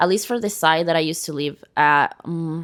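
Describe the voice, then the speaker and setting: A woman with a Venezuelan accent, fairly low in pitch, at a moderate pace. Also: very clean recording, silent background. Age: 20s. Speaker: podcast guest. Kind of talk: casual interview.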